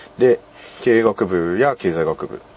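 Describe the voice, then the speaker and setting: A man speaks at a fairly slow pace with lively intonation. There is noticeable background noise. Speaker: university club radio host. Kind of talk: casual solo talk. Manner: halting.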